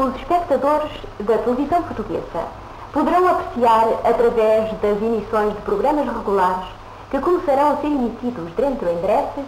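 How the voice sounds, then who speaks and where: With audible room echo and light background noise, a woman speaks at a moderate pace in a high pitch that swings very widely. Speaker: continuity announcer. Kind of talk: 1950s television announcement, formal broadcaster read. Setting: vintage broadcast recording. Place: studio.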